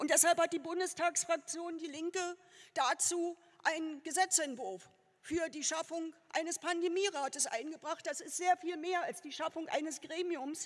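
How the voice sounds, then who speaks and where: Her voice sits at an extremely high pitch for a woman, with fairly even intonation. She speaks at a moderate pace over a quiet background. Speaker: politician giving a candidacy speech. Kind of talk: political speech. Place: hall. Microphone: podium.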